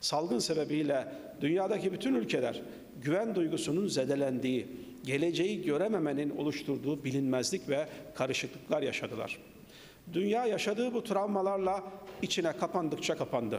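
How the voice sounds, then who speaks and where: With lively intonation, a man speaks at a moderate pace over light background noise. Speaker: speaker. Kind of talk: formal speech. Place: hall. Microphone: podium.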